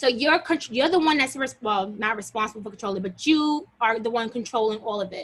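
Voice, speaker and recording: Lively intonation at a fairly quick pace with hardly any pauses. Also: woman, fairly high pitch for a woman. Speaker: teacher leading a workshop. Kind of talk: workshop tutorial. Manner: fast. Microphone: video call.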